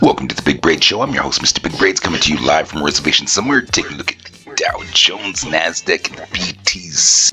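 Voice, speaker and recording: Raspy and hoarse, a man's put-on character voice rumbles at a very deep, low pitch and a very fast pace. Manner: playful, announcer-like.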